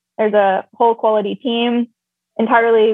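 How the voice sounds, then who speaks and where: Woman talking at a fairly quick pace in a flat, monotone delivery. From England. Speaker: climate newsletter founder. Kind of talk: casual interview. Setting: video call.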